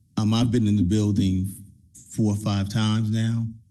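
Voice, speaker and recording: In an American accent, a man with a fairly low pitch and a dark, mellow tone speaks at a moderate pace amid audible room echo. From Trenton, New Jersey. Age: 60s. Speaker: community program leader. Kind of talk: public comment at council meeting.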